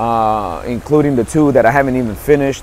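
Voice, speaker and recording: The speaker has a New York accent and ordinary pitch variation, with noticeable background noise. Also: man. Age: 50s. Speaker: motivational speaker and author. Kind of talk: motivational monologue. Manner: hesitant, many fillers and repetitions.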